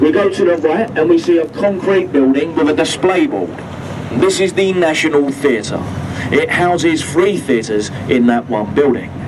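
A man speaks at a fairly slow pace over noticeable background noise. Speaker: boat tour guide. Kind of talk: tour commentary. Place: boat.

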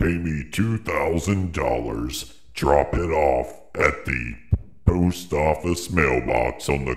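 In a put-on character voice, a man speaks very slowly in a very deep, low pitch with a menacing tone. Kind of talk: acted demo line.

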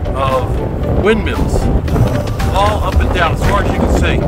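A man talks while music plays behind him. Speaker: road trip vlogger. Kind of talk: casual vlog chat. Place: street. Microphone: phone near.

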